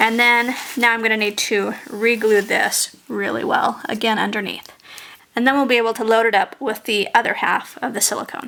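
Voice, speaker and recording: Noticeable background noise behind a woman's fairly high-pitched voice, at a moderate pace with fairly even intonation. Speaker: sculpting tutorial maker. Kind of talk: tutorial. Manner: casual, relaxed.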